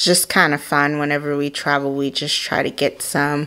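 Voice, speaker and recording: A woman's voice comes through with a quiet background. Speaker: home vlogger. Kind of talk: casual home tour narration. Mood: enthusiastic. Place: home room. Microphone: phone near.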